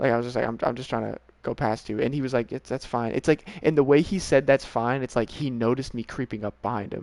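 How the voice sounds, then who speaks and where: Mumbling at a very fast pace, a man speaks in a medium pitch with fairly even intonation and a dry, close sound with no echo. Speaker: video game streamer. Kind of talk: casual chat.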